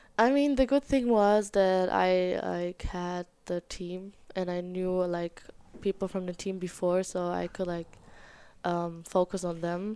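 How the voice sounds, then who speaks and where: In a German accent, a woman of medium pitch speaks at a fairly slow pace with a dark, mellow tone and ordinary pitch variation. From Germany, small town. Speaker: college soccer goalkeeper. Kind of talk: interview. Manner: halting.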